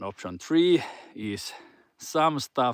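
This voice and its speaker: A man speaks very slowly in a Finnish accent, his pitch swinging very widely. The sound is dry and close with no echo. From Finland. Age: 40s. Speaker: fitness coach. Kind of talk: casual motivational talk. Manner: halting.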